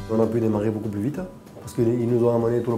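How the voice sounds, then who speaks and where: A man with a southern French accent talks very fast at a medium pitch. Music plays in the background. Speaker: dairy farmer. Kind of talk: interview answer.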